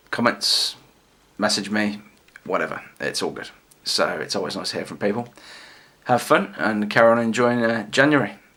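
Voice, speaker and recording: Big swings in loudness mark this man's speech in an English accent, with long, frequent pauses. His pitch is medium, with ordinary variation. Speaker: toy collector and reviewer. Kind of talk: casual vlog review. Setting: home video recording, late at night. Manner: fast.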